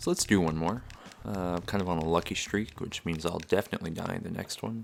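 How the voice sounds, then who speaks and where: Music can be heard behind the speech. A man's very deep, low voice shows ordinary pitch variation. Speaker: let's play commentator. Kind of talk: casual gameplay commentary. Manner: relaxed, laid-back.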